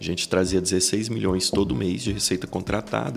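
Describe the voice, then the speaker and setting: Music plays in the background as a man with a very deep, low pitch speaks at a fairly quick pace. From Brazil, Goiás (Iporá). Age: 30s. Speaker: business executive. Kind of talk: podcast interview.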